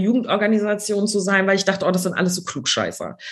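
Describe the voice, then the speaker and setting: Speaking at a very fast pace, a woman holds a medium pitch. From Schleswig-Holstein, Neumünster. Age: 20s. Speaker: politician. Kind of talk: interview.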